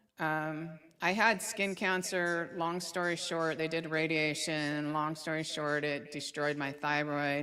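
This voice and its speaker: A woman's very deep, low voice at a fairly slow pace, with fairly even intonation and audible room echo. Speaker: psychic medium. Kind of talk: casual interview chat.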